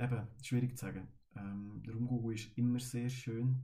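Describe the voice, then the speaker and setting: A man's medium-pitched, dark, mellow, somewhat breathy voice in a monotone, flat delivery at a moderate pace, with audible room echo. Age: 20s. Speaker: carnival band musician. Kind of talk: casual chat.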